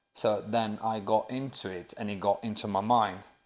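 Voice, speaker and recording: On a very clean recording with a silent background, a man with an Italian accent speaks at a moderate pace in a fairly low, monotone, flat voice. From Sicily, Italy. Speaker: personal trainer. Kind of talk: casual podcast chat.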